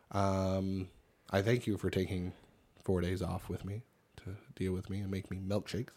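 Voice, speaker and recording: At a moderate pace with long, frequent pauses, a man with a Cape Breton accent speaks in a very deep, low pitch and a dark, mellow tone, his intonation flat and monotone. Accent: Cape Breton Canadian English. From Cape Breton, Nova Scotia. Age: 30s. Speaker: podcast co-host. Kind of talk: casual chat.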